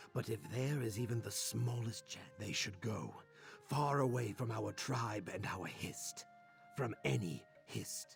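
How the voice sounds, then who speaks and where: Over clear music in the background, a man puts on a character voice at a medium pitch, speaking fairly slowly with very wide pitch swings. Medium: video game.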